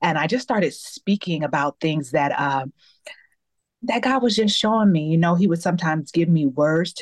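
With a normal speaking voice of fairly low pitch, a woman speaks at a moderate pace in a dry, close sound with no echo. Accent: American. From US Midwest, suburb of Cleveland, Ohio. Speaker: accountability coach and author. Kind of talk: podcast interview.

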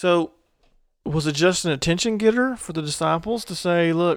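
A high-pitched man is heard in a very clean recording against a silent background. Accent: Southern US. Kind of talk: casual chat, faith discussion.

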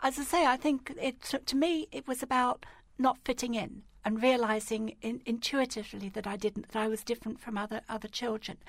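A woman's high-pitched voice in an English accent, at a fairly quick pace. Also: ordinary pitch variation. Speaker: equality and diversity campaigner and podcast host. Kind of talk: radio interview.

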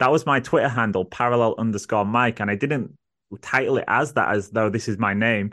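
A man's bright, sharp, medium-pitched voice with an English accent, fairly quick pace, ordinary pitch variation and very even loudness, over a quiet background. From England. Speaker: podcast host. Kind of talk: casual chat; scripted intro.

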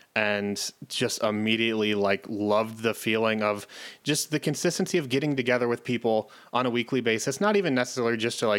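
In a very clean recording with a silent background, a man with an ordinary speaking voice talks at a fairly quick pace, his medium pitch showing ordinary variation. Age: 20s. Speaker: podcast host and game master. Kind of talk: casual chat.

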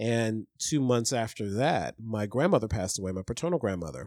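A man with an American accent has an ordinary speaking voice, lively intonation and a moderate pace. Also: very clean recording, silent background. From Ohio, US Midwest. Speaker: podcast guest. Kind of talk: casual chat.

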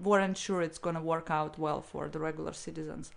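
A woman with a Russian accent talks at a moderate pace. Her intonation is fairly even, and the background is quiet. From St. Petersburg, Russia. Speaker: interview guest. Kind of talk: casual interview chat.

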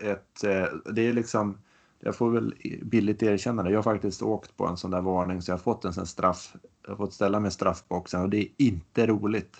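Over a quiet background, an unremarkable speaking voice moves at a moderate pace with fairly even intonation. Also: man, fairly low pitch for a man. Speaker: triathlon podcast co-host, amateur athlete. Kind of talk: casual chat.

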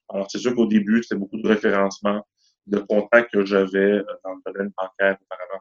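In a dry, close sound with no echo, a man talks at a fairly quick pace with a fairly low pitch, monotone, flat intonation and big swings in loudness. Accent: Quebec. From Quebec, east Montreal. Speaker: mortgage broker. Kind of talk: interview.

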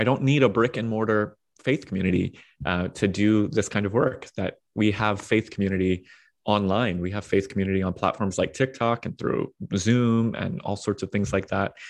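Over a quiet background, a man talks in an ordinary speaking voice with ordinary pitch variation. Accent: American. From US, Washington D.C. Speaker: pastor and author. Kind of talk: casual interview.

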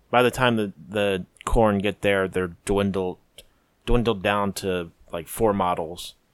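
An ordinary speaking voice from a man, fairly low in pitch, with fairly even intonation. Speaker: hobby gamer guest. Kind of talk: casual chat.

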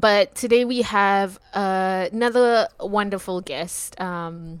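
Her pitch sits in the medium range and shifts in an ordinary way as she talks very slowly. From Singapore. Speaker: podcast host and postgraduate student. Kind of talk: casual chat. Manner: laughs often.

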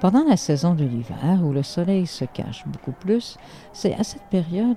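A woman with a Quebec accent, music in the background. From Lower North Shore, Quebec. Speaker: storyteller and Inuit historian. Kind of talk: storytelling.

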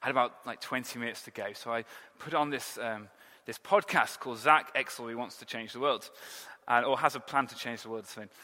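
A man with an English accent speaks at a very fast pace and medium pitch. His tone is bright and sharp, with big swings in loudness. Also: ordinary pitch variation. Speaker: pastor. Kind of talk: sermon. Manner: animated.

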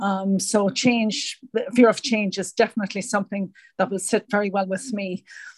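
At a moderate pace, a woman with an Irish accent speaks in a somewhat breathy, medium-pitched voice with a monotone, flat intonation. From Ireland.

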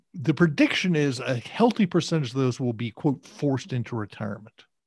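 A somewhat breathy male voice at a medium pitch, fairly quick in pace with ordinary pitch variation, in a very clean recording with a silent background and a dry, close sound with no echo. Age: 60s. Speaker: career coach and author. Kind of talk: interview.

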